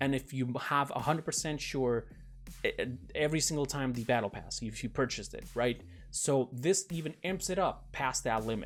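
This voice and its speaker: Music plays in the background as a man talks. His pitch is medium with ordinary variation. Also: moderate pace. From Portugal. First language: Portuguese. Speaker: gaming YouTuber. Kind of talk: casual commentary on game patch notes. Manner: casual, with fillers and self-corrections.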